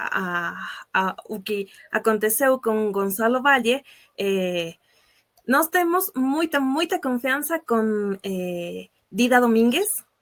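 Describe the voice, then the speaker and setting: A woman with an Ecuadorian accent speaks very slowly in a fairly high pitch, her voice swinging very widely up and down. The sound is dry and close, with no echo. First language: Spanish (speaking Portuguese). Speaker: sports journalist. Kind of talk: casual chat. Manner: halting, many filler sounds.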